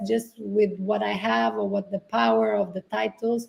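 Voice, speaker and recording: Woman's somewhat breathy voice, its intonation fairly level. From Portugal (island). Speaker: sustainability entrepreneur. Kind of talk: interview.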